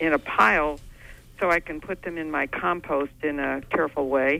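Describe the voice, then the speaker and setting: Her pitch very deep and low, a woman speaks with a bright, sharp tone and fairly even intonation. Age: 80s+. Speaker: caller. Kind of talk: call-in comment.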